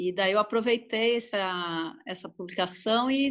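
A woman's normal speaking voice, fairly high in pitch, with ordinary pitch variation and a fairly slow pace. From São Paulo, Brazil. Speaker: literary translator and French teacher. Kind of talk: casual interview.

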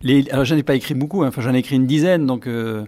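The man's tone is dark and mellow, at a medium pitch with ordinary pitch variation. His recording is very clean, the background silent. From France, Brive. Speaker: radio journalist and writer. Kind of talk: interview with school pupils. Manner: halting, repeats words.

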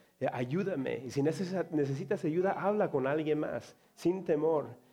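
Against music in the background, a man speaks fairly slowly in a fairly high pitch with lively intonation. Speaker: pastor. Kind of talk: sermon. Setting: church. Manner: halting.

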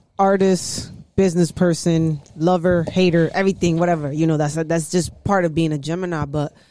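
A woman with a New York accent speaks at a moderate pace. Her fairly low voice has a dark, mellow tone and a flat monotone delivery. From New York, Harlem. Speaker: podcast host. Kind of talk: casual chat.

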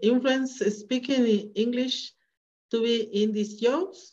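A woman speaks with a Spanish accent. Her pitch sits fairly high. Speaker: interviewer. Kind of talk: interview.

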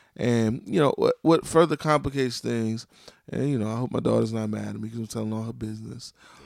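Speaking at a very fast pace, a man keeps a medium pitch with ordinary pitch variation on a very clean recording with a silent background. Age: 40s. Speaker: podcast host. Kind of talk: casual chat.

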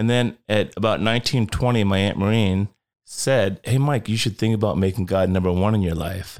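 In a very clean recording with a silent background, a man with an ordinary speaking voice talks at a moderate pace and a fairly low pitch. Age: 50s. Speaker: Bible teacher and rideshare driver. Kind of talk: casual chat. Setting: studio.

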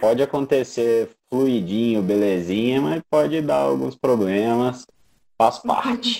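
Very slow pace from a man, dark and mellow in tone, medium-pitched, with lively intonation. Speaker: podcast host and filmmaker. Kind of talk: interview. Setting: online live stream.

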